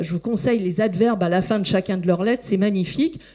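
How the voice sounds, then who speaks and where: A woman talks at a medium pitch with ordinary pitch variation and a dark, mellow tone. The recording is very clean, with a silent background. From France. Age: 60s. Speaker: philosophy lecturer. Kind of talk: public talk. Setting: bookshop event with audience. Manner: hesitant, many fillers.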